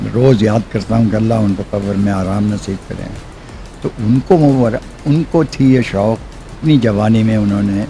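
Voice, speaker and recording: Music in the background behind a man's medium-pitched voice. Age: 80s+. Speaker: motorcycle enthusiast. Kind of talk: interview answer.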